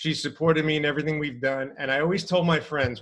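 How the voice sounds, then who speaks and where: A man with a fairly high pitch talks at a fairly quick pace in an animated tone. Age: 50s. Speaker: podcast co-host, entrepreneur and mentor. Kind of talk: casual interview conversation. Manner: fast.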